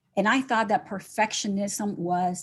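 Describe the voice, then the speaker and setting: In a Spanish accent, a woman speaks at a fairly slow pace with a somewhat breathy voice. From Nicaragua. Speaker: gratitude coach, entrepreneur. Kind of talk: podcast interview. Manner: unscripted.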